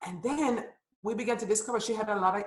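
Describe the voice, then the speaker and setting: A somewhat breathy woman's voice at a fairly high pitch. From Jamaica. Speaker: nonprofit founder and women's empowerment coach. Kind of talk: interview.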